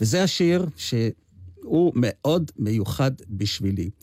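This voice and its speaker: A dark, mellow tone from a man at medium pitch. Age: 80s+. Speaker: amateur singer and translator. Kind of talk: radio interview. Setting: radio studio.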